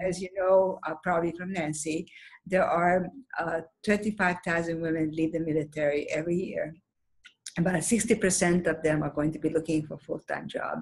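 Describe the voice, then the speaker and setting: Fairly low and somewhat breathy, a woman's voice moves at a fairly quick pace. Her intonation is fairly even. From Hungary. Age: 70s. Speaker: former magazine publisher, nonprofit founder. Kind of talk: interview.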